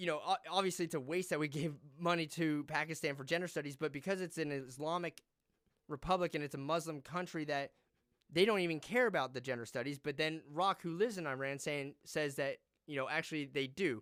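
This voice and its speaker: A man with an unremarkable speaking voice, fairly high-pitched, talking at a fairly quick pace with ordinary pitch variation, on a very clean recording with a silent background. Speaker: podcast host. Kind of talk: casual chat.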